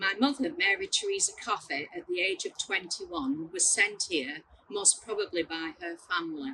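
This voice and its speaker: A woman speaks in a Lancashire accent at a moderate pace. Her pitch sits at a medium level but swings very widely. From northern England (Bolton, Lancashire). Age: 70s. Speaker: adoptee sharing life story. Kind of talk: testimony. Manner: halting.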